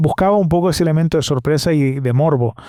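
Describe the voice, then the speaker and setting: In a Canarian accent, a man with a dark, mellow tone speaks at a moderate pace with fairly even intonation. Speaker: podcast host. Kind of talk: solo podcast monologue. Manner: hesitant, many fillers and repetitions.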